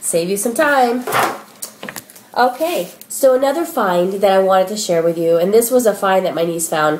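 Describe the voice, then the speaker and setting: Through noticeable background noise, a woman at a medium pitch swings very widely in pitch and takes long, frequent pauses. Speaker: shopping haul vlogger. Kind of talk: casual product haul video. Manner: fast; animated.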